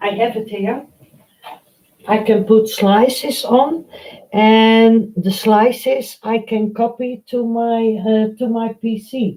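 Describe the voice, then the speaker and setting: With a Dutch accent, a woman at a fairly high pitch speaks very slowly in a monotone, flat intonation. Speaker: painting tutor. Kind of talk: live stream painting tutorial. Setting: live stream. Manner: halting, many fillers.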